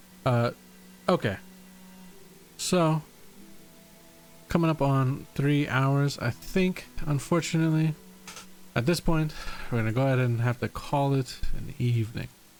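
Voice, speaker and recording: Over music in the background, a man with an American accent talks at a fairly high pitch and a fairly slow pace, taking long, frequent pauses. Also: ordinary pitch variation. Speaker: streamer and setting creator. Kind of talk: casual livestream chat. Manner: casual, halting with many fillers.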